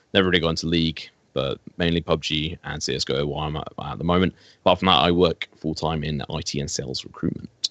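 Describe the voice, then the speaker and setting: A man talks at a very fast pace in a very deep, low voice. His intonation is monotone and flat, with vocal fry. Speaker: esports caster. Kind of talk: casual chat.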